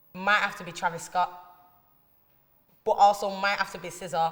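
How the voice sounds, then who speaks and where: A woman speaks at a medium pitch with a strong Manchester accent. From northern England, north Manchester. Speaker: musician and poet. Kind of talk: interview answers. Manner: casual slangy.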